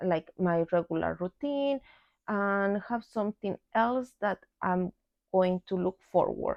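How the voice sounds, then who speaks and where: With a non-native accent, a woman speaks at a very slow pace, keeping a medium pitch and ordinary pitch variation. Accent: non-native English, pronunciation mistakes. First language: Spanish. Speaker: book vlogger. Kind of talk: casual vlog monologue. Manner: halting, with fillers and repeats.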